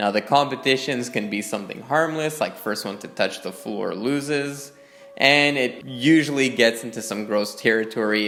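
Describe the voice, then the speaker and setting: A man with a Canadian accent speaks at a fairly slow pace, with ordinary pitch variation. Noticeable background noise and audible room echo are present. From Canada. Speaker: video essayist. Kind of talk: casual commentary monologue. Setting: garage.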